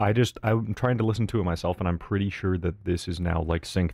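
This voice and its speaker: Quiet and relaxed, a man with a very deep, low pitch talks at a fairly quick pace. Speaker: live streamer. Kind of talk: casual live gaming stream chat. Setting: streaming from home while partner sleeps. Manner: quiet, relaxed.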